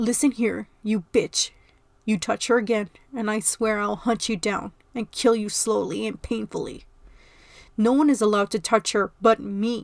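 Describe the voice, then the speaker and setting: A woman growls in a put-on character voice at a fairly high pitch and a moderate pace. The recording is very clean with a silent background, and the sound is dry and close with no echo. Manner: scary, angry, menacing.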